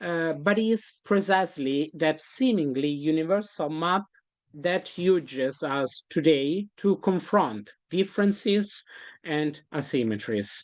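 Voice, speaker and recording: A woman with a fairly low voice talks with lively intonation in a non-native accent. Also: fairly slow pace. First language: not English. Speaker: conference keynote speaker. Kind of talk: academic lecture. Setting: conference. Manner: halting, many fillers.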